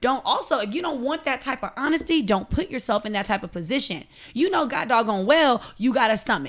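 A woman with an American accent speaks at a fairly quick pace in a high, animated voice with very wide pitch swings. The recording is very clean, with a silent background. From Long Beach, California. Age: 30s. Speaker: podcast co-host. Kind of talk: casual chat.

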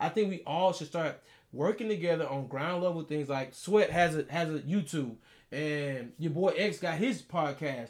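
A man with an American accent speaks at a moderate pace in a high voice, his pitch rising and falling in an ordinary way. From Texas, Beaumont area. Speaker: podcast co-host. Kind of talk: casual chat. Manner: animated.

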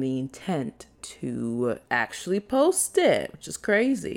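With an animated tone, a woman speaks in an American accent. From US Midwest, Chicago. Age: 20s. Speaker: content creator, podcast host. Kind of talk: solo casual monologue. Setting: solo podcast recording.

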